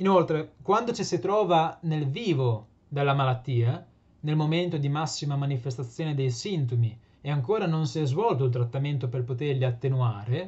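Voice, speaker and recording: A man talks at a fairly quick pace. His voice is somewhat breathy and fairly high in pitch. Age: 20s. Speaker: PhD student and patient advocate. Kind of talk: prepared presentation. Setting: remote video link. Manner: formal. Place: home room. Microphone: webcam.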